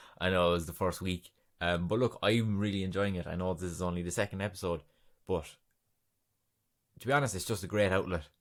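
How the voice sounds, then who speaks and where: In an Irish accent, a man with a very deep, low pitch talks fairly quickly with fairly even intonation and long, frequent pauses, in a very clean recording with a silent background. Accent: Irish accent, says film as 'filum'. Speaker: podcast host. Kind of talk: casual solo podcast monologue. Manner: chatty, rambling with fillers.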